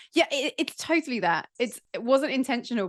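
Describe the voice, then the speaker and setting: A woman with very wide pitch swings, set against a quiet background. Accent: English. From England. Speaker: podcaster and entrepreneur. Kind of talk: casual podcast interview.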